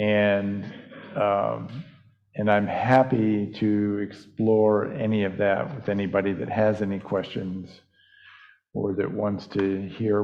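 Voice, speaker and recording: A man's fairly low, monotone, flat voice at a very slow pace, with audible room echo. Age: 60s. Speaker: pastor. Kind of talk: interview.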